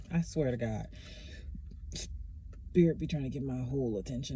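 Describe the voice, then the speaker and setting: Very deep and low in pitch, a woman's somewhat breathy voice carries a dark, mellow tone. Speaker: oracle card reader. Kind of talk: tarot-style reading. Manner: fast; casual, conversational.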